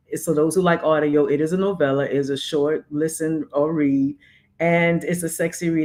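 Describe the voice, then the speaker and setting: A woman speaks with a very deep, low pitch. She keeps a moderate pace, and her pitch varies in an ordinary way. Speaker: podcast co-host and author. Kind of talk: casual chat.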